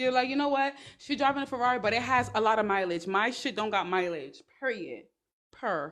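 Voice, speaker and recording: With a New York accent, a woman speaks fairly quickly in a fairly high pitch and lively intonation. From New York, Brooklyn. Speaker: online business and dating advice streamer. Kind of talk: livestream talk. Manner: fast.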